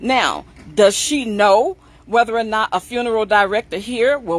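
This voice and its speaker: A woman speaks fairly slowly with an ordinary speaking voice, pitched fairly high with ordinary variation. The sound is dry and close, with no echo. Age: 60s. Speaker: funeral plan sales representative. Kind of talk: sales pitch. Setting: livestream.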